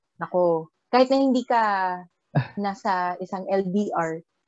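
In a normal speaking voice, a woman talks at medium pitch, her pitch varying in an ordinary way. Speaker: podcast co-host. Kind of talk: casual chat.

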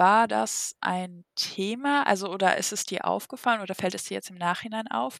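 In a very clean recording with a silent background, a woman with an unremarkable speaking voice talks at a moderate pace and medium pitch. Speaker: podcast host. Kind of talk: interview.

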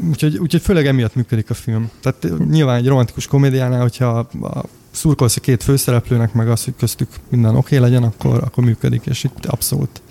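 Over noticeable background noise, a man of medium pitch talks at a very fast pace with hardly any pauses and ordinary pitch variation, the sound dry and close with no echo. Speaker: podcast co-host. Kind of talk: casual chat. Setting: remote, on a call from Toronto. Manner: hesitant, many fillers.

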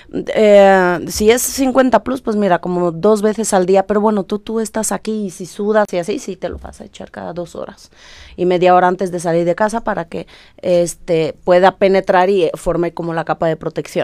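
A woman with a medium pitch and a dark, mellow tone speaks at a moderate pace with fairly even intonation and big swings in loudness, in a dry, close sound with no echo on a very clean recording with a silent background. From Romania. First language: Romanian (speaking Spanish). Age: 30s. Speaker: aesthetic doctor. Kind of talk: casual chat with medical explanation.

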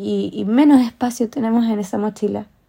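A woman's fairly high, somewhat breathy voice carries a dark, mellow tone and fairly even intonation. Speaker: podcaster. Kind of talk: personal monologue.

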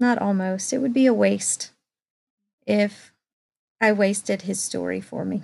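A woman at a fairly slow pace. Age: 40s. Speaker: speech therapist. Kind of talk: personal testimony.

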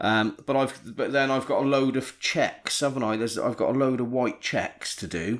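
With a Bristol accent, a man speaks at a moderate pace and medium pitch, keeping his intonation fairly even. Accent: Bristol, noticeable. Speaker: podcast host. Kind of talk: casual banter.

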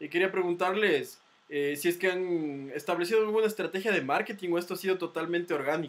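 Here a man talks at a fairly quick pace. His pitch is high, with ordinary variation. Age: 20s. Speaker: podcast host. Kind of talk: casual chat.

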